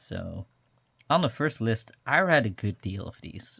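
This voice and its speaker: A man with a Dutch accent speaks in a very clean recording with a silent background. The sound is dry and close with no echo. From Netherlands. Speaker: journaling vlogger. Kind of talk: casual show-and-tell tutorial. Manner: many fillers, um and uh.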